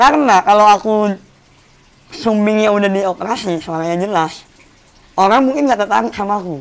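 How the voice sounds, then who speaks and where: Fairly quick delivery broken by long, frequent pauses. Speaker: stand-up comedian and singer. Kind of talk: podcast interview.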